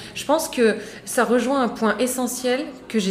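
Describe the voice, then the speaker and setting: A woman is recorded with audible room echo and noticeable background noise. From France, Moroccan heritage. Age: 30s. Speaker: serial entrepreneur. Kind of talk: casual chat.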